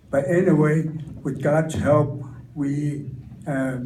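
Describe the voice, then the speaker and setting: A man with an American accent, fairly high-pitched and very slow, over noticeable background noise and audible room echo. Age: 90s. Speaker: war veteran. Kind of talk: testimony. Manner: halting.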